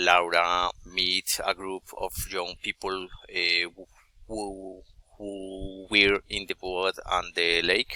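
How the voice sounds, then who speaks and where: Very slowly and in a monotone, flat delivery, a man with a Colombian accent speaks at a very deep, low pitch. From Colombia, Bogotá. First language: Spanish. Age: 40s. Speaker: adult student. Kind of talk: class presentation. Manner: halting, many hesitations.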